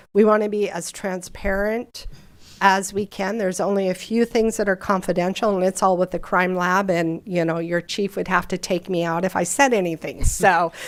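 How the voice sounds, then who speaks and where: A woman with a plain, everyday voice speaks at medium pitch and a moderate pace, with fairly even intonation, in a very clean recording with a silent background. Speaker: regional government official presenting to council. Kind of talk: presentation and Q&A at council meeting. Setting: city council meeting.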